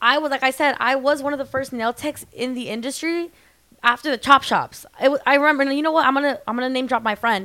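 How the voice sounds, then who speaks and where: A woman with an American accent speaks at a very fast pace in a raised, projected voice. Her pitch is high with ordinary variation, and her tone is bright and sharp. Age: 20s. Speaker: celebrity nail tech. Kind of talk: casual chat.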